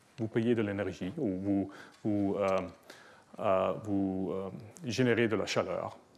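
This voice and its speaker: A man with a non-native accent and fairly low pitch speaks very slowly, his pitch variation ordinary. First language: not French (speaking French). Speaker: professor. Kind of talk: lecture. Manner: halting, many hesitations.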